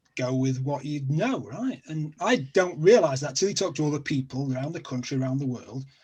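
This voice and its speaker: A man with a somewhat breathy voice speaks at a fairly high pitch. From South Yorkshire, England (Sheffield). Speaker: online show host, guest. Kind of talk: casual chat.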